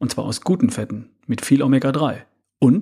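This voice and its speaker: The voice is somewhat breathy, with lively intonation. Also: man. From Ostwestfalen, Germany. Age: 50s. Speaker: health and fitness podcaster. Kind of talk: solo podcast monologue.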